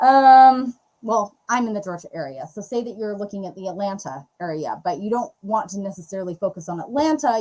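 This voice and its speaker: A dark, mellow tone with ordinary pitch variation. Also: woman. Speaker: real estate YouTube coach, co-host. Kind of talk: live Q&A tutorial. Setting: livestream. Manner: fast.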